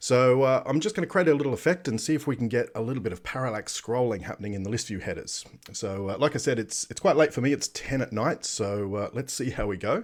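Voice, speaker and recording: With an Australian accent, a man speaks very fast at a medium pitch, using lively intonation and hardly pausing. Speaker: software developer live streamer. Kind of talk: live coding stream tutorial. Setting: live stream from home at night. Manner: casual, lots of fillers.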